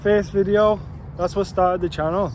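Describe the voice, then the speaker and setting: A man's voice over noticeable background noise. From Liverpool, England. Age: 20s. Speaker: YouTuber and real estate agent. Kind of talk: casual vlog monologue. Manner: casual and conversational, with fillers.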